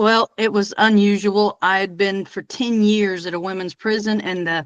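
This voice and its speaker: Against a quiet background, the talking goes along at a middling speed. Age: 60s. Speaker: nurse. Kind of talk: casual chat.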